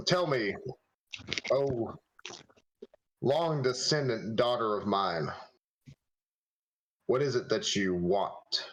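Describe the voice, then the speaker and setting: Putting on a menacing character voice at medium pitch, a man speaks at a very slow pace with long, frequent pauses. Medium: actual play. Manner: menacing, imperious.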